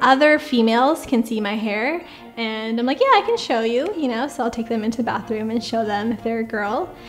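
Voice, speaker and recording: Over music in the background, a woman with a General American accent talks at a fairly quick pace, her fairly high pitch showing ordinary variation. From California, USA. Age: 20s. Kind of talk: interview answer.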